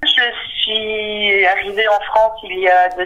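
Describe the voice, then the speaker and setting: A woman at a very slow pace amid noticeable background noise. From Belgium. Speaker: senior healthcare manager. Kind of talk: interview testimony. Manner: hesitant, many fillers.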